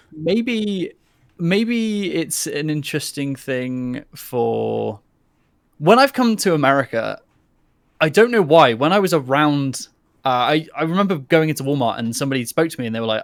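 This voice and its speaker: With a strong British accent, a man of fairly high pitch talks at a moderate pace, his voice swinging very widely in pitch. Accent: strongly British. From England. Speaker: conversation participant.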